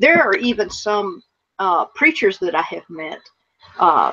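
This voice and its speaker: Lively intonation at a moderate pace, in an American accent. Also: woman. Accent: Southern US, getting stronger. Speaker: radio show co-host. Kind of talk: casual chat.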